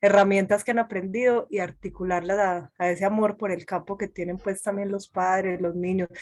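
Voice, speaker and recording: At a moderate pace, a woman with an Antioquian accent speaks at a medium pitch. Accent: eastern Antioquia Colombian. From Antioquia, Colombia. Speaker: session participant. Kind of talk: online panel discussion.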